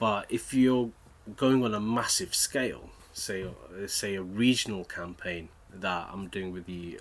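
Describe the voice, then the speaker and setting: Here a man is speaking. His pitch is very deep and low. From Bedford, England. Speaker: trade union organiser. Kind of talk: interview. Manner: halting.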